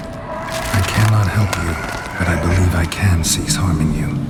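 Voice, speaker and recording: Amid loud background noise, a man puts on a character voice pitched very deep and low. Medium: machinima. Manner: terse, level.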